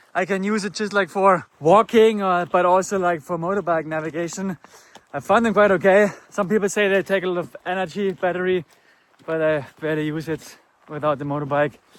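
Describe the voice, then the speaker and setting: This voice talks fairly quickly. It is marked by a German accent. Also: man, high pitch for a man, ordinary pitch variation. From Germany. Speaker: motorcycle travel vlogger. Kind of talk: travel vlog. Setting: outdoors.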